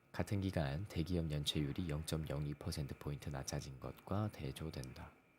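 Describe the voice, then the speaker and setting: A man at a moderate pace, very deep and low in pitch with ordinary variation and vocal fry. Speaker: economic news channel host. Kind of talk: reading news articles aloud. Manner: stumbling over words, self-correcting.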